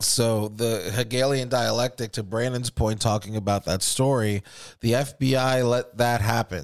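A man with a plain, everyday voice, medium pitch, very even loudness, fairly even intonation and a moderate pace. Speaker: podcast host. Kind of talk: angry rant about government and false flags. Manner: heated, profane, indignant.

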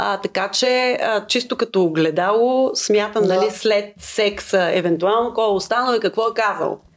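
In a normal speaking voice, the speaker goes at a moderate pace with hardly any pauses, ordinary pitch variation and very even loudness. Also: woman, medium pitch for a woman. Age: 30s. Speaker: singer-songwriter. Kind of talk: casual chat.

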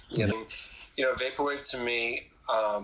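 A man talks as noticeable background noise carries on behind him. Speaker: musician. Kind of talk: interview chat. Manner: halting, filler-heavy.

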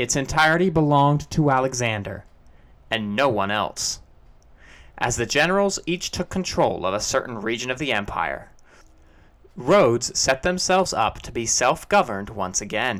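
Pitch swings very wide as a man talks at a moderate pace from a medium pitch. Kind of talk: scripted narration.

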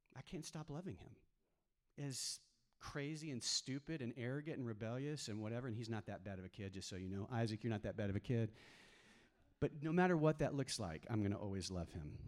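A man with an American accent talks at a fairly quick pace in a normal speaking voice of medium pitch, with lively intonation, in a very clean recording with a silent background. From Texas. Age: 50s. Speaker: pastor. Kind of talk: sermon. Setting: church.

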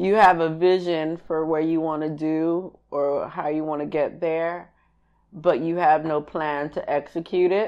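At a fairly slow pace, a woman speaks in a very deep, low voice with monotone, flat intonation. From Miami, Haitian household. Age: 30s. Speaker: podcast co-host. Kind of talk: casual chat.

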